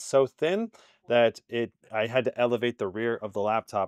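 A man talks at a moderate pace with ordinary pitch variation. The sound is dry with no echo, and the background is quiet. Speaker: tech reviewer. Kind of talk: product review commentary. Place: home room. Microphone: lapel.

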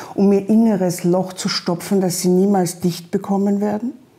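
The pace holds at a moderate rate. A dark, mellow tone carries the words. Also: woman.

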